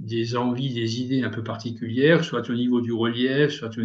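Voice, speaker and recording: A man with a medium pitch keeps his intonation fairly even and talks at a moderate pace. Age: 60s. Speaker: long-distance cyclist. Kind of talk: interview. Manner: halting, many hesitations.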